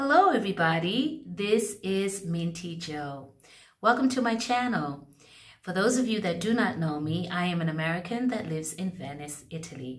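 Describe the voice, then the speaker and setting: A woman speaks at a moderate pace with a fairly low pitch. Her pitch swings very widely. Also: quiet background. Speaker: hair care vlogger. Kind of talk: casual vlog chat. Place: bathroom. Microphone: phone near.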